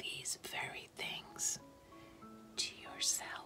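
A woman whispers at a very slow pace. Clear music plays in the background. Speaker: ASMR creator. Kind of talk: quiet inspirational reading. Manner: soft-spoken, slow. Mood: calm, tender, soothing.

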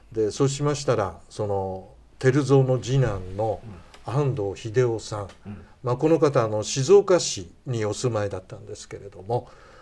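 Somewhat breathy and dark, mellow in tone, a man speaks at a moderate pace and medium pitch with lively intonation and big swings in loudness. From Tochigi, Japan. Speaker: history researcher; guest. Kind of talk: interview. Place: studio. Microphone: lapel.

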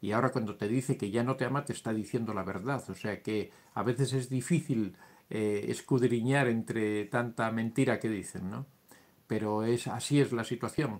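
The man has an unremarkable speaking voice, medium in pitch, with fairly even intonation at a moderate pace. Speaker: psychology youtuber. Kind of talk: live stream talk answering chat questions. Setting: live stream.

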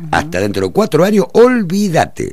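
A man with an Argentine accent talks at a fairly quick pace, with very wide pitch swings and vocal fry. The sound is dry with no echo, over a quiet background. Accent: Rioplatense Argentine Spanish. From Argentina, Buenos Aires province. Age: 60s. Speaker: mayoral candidate and veteran journalist; candidate. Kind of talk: radio interview. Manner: halting, many fillers and repetitions. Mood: critical, indignant about local government. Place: studio. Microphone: studio mic.

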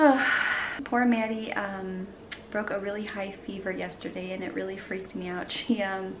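A woman talks at a moderate pace, her pitch rising and falling in an ordinary way. Noticeable noise fills the background. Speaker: parent vlogger. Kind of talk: casual vlog chat. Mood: worried, relieved storytelling. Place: kitchen. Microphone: phone near.

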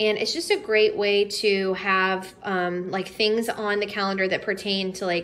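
A woman talks at a fairly slow pace, her intonation fairly even. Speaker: home decor vlogger, teacher. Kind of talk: casual haul vlog chat. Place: home room. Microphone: phone near.

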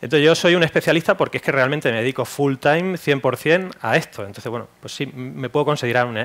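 Very fast speech from a man at a fairly high pitch, with ordinary pitch variation. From Andalusia, Jaén (Spain); Andalusia, Spain. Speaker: e-commerce specialist; presenter. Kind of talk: workshop talk. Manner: hesitant, many fillers. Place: hall.

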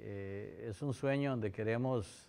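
With ordinary pitch variation, a man speaks at a medium pitch. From Costa Rica (San Ramón), with years in Lebanon; Costa Rica. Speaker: university president. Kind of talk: interview testimony. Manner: halting, with repetitions. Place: hall. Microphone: lapel.

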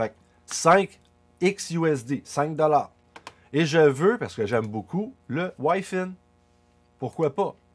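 With music in the background, a man of fairly high pitch speaks at a very slow pace, his intonation lively and his pauses long and frequent. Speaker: crypto YouTuber. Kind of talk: tutorial. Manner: casual.

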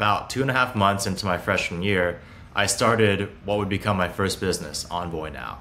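A man talks at a moderate pace in a fairly low voice with a bright, sharp tone. His pitch varies in an ordinary way, and there is light background noise. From Hong Kong and Beijing, China. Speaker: startup founder and CEO. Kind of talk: interview. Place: home room.

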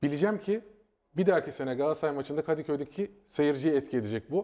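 Against a quiet background, a man talks very fast in a fairly high voice with a dark, mellow tone. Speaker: football pundit. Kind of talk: casual chat. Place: studio. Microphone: lapel.

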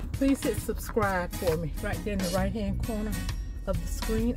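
Over clear music in the background, a woman talks at a moderate pace with a dry sound and no echo. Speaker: vlogger. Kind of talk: casual vlog chat. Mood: warm, relaxed. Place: car. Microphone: phone near.

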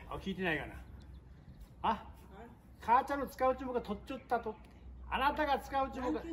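Speaking in a Nagasaki accent at a very fast pace, the voice breaks often into long pauses and shows ordinary pitch variation over light background noise. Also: man, extremely high pitch for a man. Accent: Goto dialect. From Goto Islands, Nagasaki, Japan. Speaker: fisherman. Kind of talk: casual talk to camera. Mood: teasing, exasperated. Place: garden. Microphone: camera far.

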